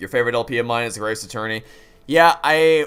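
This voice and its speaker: Speaking very fast, a man uses a medium pitch, ordinary pitch variation and a bright, sharp tone. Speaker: gaming streamer. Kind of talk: casual livestream chat. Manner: very fast talker; animated.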